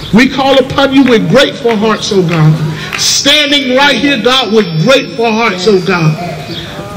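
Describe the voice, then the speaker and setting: A man speaks at a fairly slow pace with a high pitch. Light background noise sits behind him. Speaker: prayer leader. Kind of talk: fervent prayer. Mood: fervent, grateful. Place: street.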